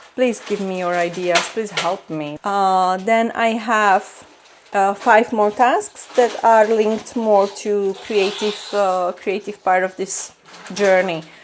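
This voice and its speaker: At a very slow pace, a woman speaks with a Slovak accent, medium pitch and fairly even intonation. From Slovakia. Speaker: vlogger, artist. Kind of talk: vlog. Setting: at home, kitchen table. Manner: halting, many fillers.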